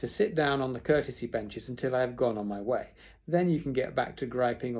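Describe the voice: The clip is plain reading aloud.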